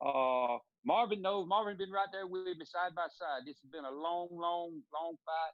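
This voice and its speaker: A man speaks at a moderate pace with a Southern US accent. His pitch is high, and it varies in an ordinary way. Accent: Southern US (Georgia). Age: 40s. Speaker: radio show co-host. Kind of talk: casual chat.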